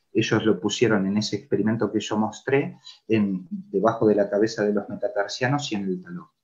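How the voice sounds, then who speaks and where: At a fairly quick pace, a man with a fairly low pitch and ordinary pitch variation speaks in an ordinary speaking voice. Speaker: physiotherapist and lecturer. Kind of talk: conference lecture.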